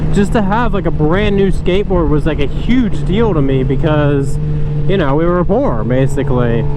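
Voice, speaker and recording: Amid noticeable background noise and audible room echo, a man with an American accent and a high pitch speaks at a moderate pace. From North Carolina. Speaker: motorcycle vlogger. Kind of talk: casual vlog monologue. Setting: riding a motorcycle outdoors. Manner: casual, hesitant with fillers.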